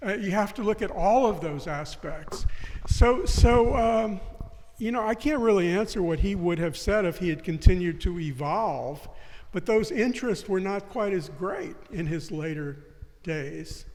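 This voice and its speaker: Fairly slow speech with lively intonation in an American accent, over noticeable background noise. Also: man, high pitch for a man. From US South, New Orleans. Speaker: writer and philosopher. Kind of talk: interview discussion. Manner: halting, many restarts.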